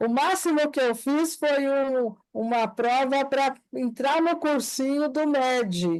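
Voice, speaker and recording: A woman with a high-pitched voice speaks very slowly, with ordinary pitch variation, very even loudness and hardly any pauses. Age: 70s. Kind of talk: group study discussion.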